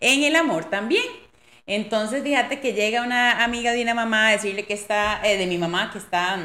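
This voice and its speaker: At a moderate pace, a woman speaks in a fairly high pitch with a bright, sharp tone and ordinary pitch variation. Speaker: podcast host. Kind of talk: casual chat.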